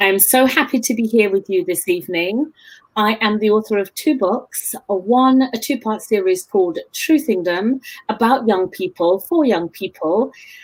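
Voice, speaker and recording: In a London accent, a woman speaks at a moderate pace with a fairly high pitch, lively intonation and very even loudness. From East London, England. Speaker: book show host and author. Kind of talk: casual interview chat.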